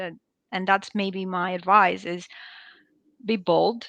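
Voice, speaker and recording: A woman's medium-pitched voice, bright and sharp in tone, with fairly even intonation at a fairly slow pace. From Greece. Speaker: product management executive. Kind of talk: webinar interview.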